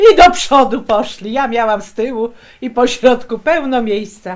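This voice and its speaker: This is a very clean recording with a silent background. A woman speaks at a high pitch. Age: 60s. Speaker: retired shipyard worker. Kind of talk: oral history interview.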